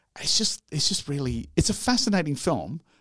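A man's voice shows vocal fry and very wide pitch swings. The sound is dry and close, with no echo. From Yorkshire, England. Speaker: film reviewer podcast co-host. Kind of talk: casual chat.

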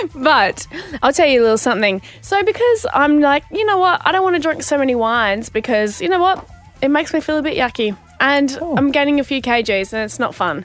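Music plays behind a woman speaking at a fairly quick pace in an Australian accent. Her high voice is bubbly and animated, with very wide pitch swings. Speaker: radio co-host. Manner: bubbly, animated storyteller.

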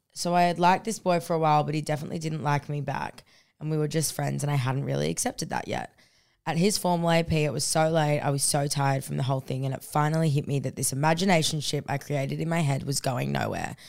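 Very fast speech comes with an Australian accent and an animated tone. The recording is very clean, with a silent background. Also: woman, very deep, low pitch for a woman. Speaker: podcast co-host. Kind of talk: casual chat. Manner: loud.

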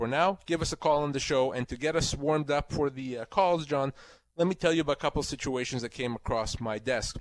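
Speaking at a fairly quick pace, a man has a normal speaking voice and ordinary pitch variation. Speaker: employment lawyer. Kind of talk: legal advice call-in.

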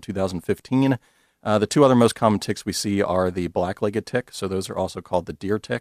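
With an American accent, a man talks at a very fast pace and a fairly low pitch. The sound is dry and close with no echo, a very clean recording over a silent background. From US Mid-Atlantic (Maryland). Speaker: entomologist. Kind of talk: interview. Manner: halting.

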